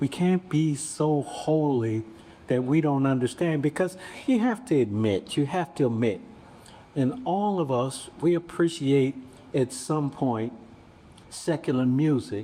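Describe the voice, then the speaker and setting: A man speaks at a fairly high pitch in a dark, mellow tone with lively intonation. His pace is fairly slow and his loudness very even. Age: 70s. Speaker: bishop and pastor. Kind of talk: panel discussion.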